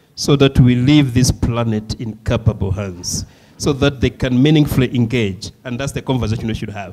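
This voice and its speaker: A man with a Malawian accent speaks at a moderate pace and a medium pitch, with noticeable background noise behind him. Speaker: session chair. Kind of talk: panel moderation.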